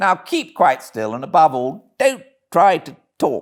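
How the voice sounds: A man puts on a character voice in a British accent, pitched fairly high. He takes a fairly slow pace with very wide pitch swings. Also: very clean recording, silent background.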